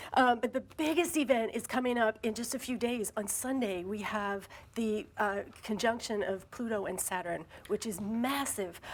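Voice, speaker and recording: With ordinary pitch variation, a woman talks at a fairly high pitch. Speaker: astrologer. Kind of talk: TV interview. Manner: fast.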